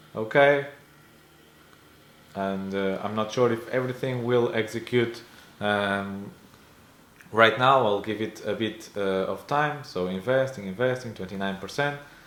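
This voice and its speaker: A man with a medium pitch speaks fairly slowly with ordinary pitch variation and long, frequent pauses, his voice carrying audible room echo. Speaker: personal finance YouTuber. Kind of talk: casual screen-share investing update. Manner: hesitant, many fillers.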